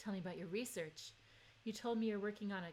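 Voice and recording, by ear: A text is read aloud in a natural voice. Its pitch varies in an ordinary way.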